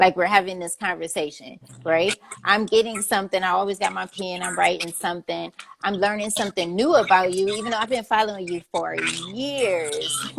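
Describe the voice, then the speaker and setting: This is a normal speaking voice. It moves at a fairly quick pace. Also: woman. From Cleveland, Ohio. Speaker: interview host. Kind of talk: casual interview.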